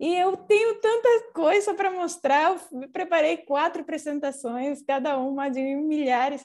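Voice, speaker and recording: A woman with a high voice talks fairly slowly, her intonation lively and her speech running with hardly any pauses. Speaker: architect. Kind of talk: architecture lecture. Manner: halting, self-correcting.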